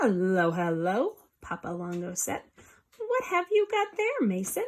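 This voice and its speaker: A woman performs a put-on character voice at a moderate pace. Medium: read story.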